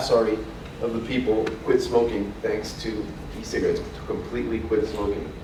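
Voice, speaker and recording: A man speaks in a room with audible echo. Noticeable background noise is present. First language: French. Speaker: trade association representative. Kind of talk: conference presentation. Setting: conference stage with audience. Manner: fast; hesitant, many fillers.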